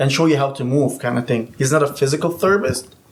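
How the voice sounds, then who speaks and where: The speaker has a non-native accent and talks at a very fast pace with fairly even intonation. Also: man. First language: not English. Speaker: certified personal trainer. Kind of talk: casual chat.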